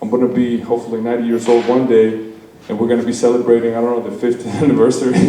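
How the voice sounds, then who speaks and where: With audible room echo and noticeable background noise, a man of medium pitch talks at a very fast pace in a monotone, flat intonation. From Mexico. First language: Spanish. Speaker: wedding guest giving a toast. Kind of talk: wedding speech. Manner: hesitant, with many fillers.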